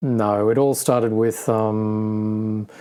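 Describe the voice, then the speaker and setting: This man talks with an Australian accent. His tone is dark and mellow. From Australia (Sydney). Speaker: podcast co-host, car enthusiast. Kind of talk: casual chat. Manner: monotone.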